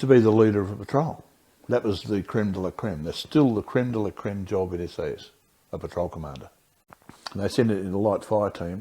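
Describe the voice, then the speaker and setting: A man talks at a fairly quick pace. His pitch is fairly low, with ordinary pitch variation. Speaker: war veteran. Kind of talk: interview answer. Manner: casual, conversational.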